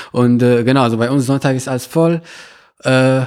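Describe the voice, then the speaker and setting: A man speaks at medium pitch. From Morocco, Meknes. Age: 20s. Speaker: university student. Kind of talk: interview. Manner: halting, many filler sounds.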